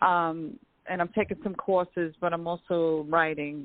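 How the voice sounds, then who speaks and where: Her pitch fairly low, a woman speaks with fairly even intonation. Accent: strong New York. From Long Island, New York. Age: 50s. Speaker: caller. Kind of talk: call-in question to a psychic. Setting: phone call. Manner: halting.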